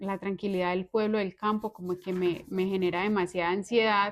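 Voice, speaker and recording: At a fairly quick pace, a woman speaks at medium pitch with monotone, flat intonation. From Colombia, Antioquia (Valparaíso). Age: 30s. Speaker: accountant. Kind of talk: interview.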